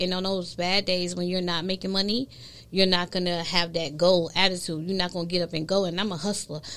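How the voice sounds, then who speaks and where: In a New York accent, a woman speaks at a fairly quick pace with a medium pitch and fairly even intonation. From New York, Brooklyn. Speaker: content creation strategist. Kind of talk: casual chat.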